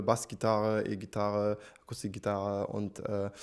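Against a quiet background, a man talks with a non-native accent. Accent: foreign accent in German. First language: not German (speaking German). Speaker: singer; guest. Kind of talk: interview. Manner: hesitant, many fillers. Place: studio. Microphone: handheld.

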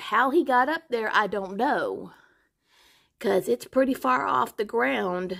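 Speaking at a fairly slow pace with vocal fry, a woman has a fairly high pitch in a very clean recording with a silent background. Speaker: pet vlogger. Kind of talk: casual vlog narration. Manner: casual, chatty.

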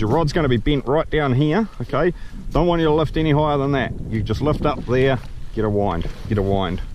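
Noticeable background noise runs under a fairly quick delivery with lively intonation. The sound is dry, without echo. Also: man. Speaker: kayak fishing instructor. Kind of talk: tutorial. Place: boat. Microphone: camera far.

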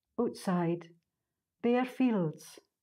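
With an Orkney accent, a woman speaks at medium pitch in a dark, mellow tone. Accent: Orcadian Scots. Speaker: poet. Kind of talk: poetry reading.

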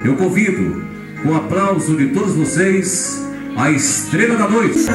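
Against clear music in the background and audible room echo, a man speaks fairly slowly in a high voice with very wide pitch swings. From Brazil. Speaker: master of ceremonies. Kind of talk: event ceremony announcement. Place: hall. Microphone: pa.

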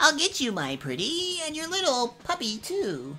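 In a put-on character voice, the speaker talks at a high pitch and a moderate pace over clear background music. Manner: cackling, menacing.

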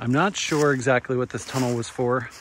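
A man's flat, monotone voice at a moderate pace, dry with no echo, over light background noise. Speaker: outdoor vlogger. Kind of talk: casual vlog chat. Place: forest. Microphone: phone near.

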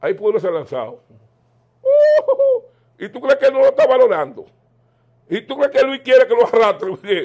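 A man with a Dominican accent and big swings in loudness. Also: moderate pace, quiet background. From Dominican Republic. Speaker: political commentator. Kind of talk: political interview. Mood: animated, opinionated political talk. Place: home room. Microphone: lapel.

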